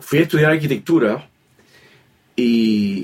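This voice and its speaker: A man is speaking. His intonation is lively. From Puerto Rico, Río Piedras (San Juan area). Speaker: philosophy professor and author. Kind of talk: interview. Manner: halting, many repetitions and fillers.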